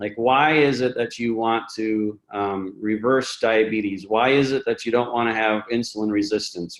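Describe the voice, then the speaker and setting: A man at a medium pitch and a fairly slow pace. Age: 40s. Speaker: webinar host. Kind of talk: casual chat. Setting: webinar. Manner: halting, many fillers.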